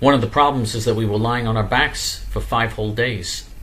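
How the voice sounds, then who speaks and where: This man has a fairly low voice with vocal fry and a bright, sharp tone. Room echo can be heard around him. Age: 60s. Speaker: political activist show host. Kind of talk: monologue.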